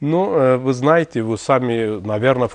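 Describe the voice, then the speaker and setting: A man with an Azerbaijani accent against a quiet background. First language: Azerbaijani (speaking Russian). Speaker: TV host. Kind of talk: TV interview. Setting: TV studio. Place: studio.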